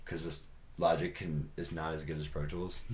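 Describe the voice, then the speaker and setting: This is a man speaking. Audible room echo carries his voice. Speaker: pop singer and music producer hosting a podcast. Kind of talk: casual chat. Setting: home studio.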